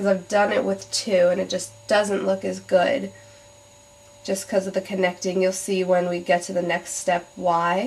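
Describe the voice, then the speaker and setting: Monotone and flat, a woman speaks at medium pitch and a moderate pace. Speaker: beauty vlogger. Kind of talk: tutorial. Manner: casual, hesitant with many ums.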